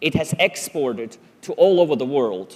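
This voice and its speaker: With a Swiss German accent, a man talks using lively intonation. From Switzerland (German-speaking). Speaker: conference speaker. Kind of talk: public talk.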